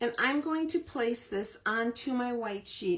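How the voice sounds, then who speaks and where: Her intonation lively, a woman speaks at a fairly high pitch. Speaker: cardmaking tutorial host. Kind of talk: tutorial. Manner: conversational, step-by-step.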